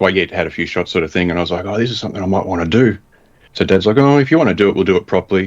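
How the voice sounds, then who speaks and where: Speaking in an Australian accent, a man talks at a very fast pace. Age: 40s. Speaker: bow hunter. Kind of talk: casual chat.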